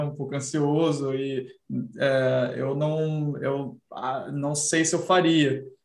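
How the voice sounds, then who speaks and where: Audible room echo surrounds a man whose fairly high pitch moves with fairly even intonation. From Brazil. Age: 30s. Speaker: senior designer and indie game developer. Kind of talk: casual interview chat.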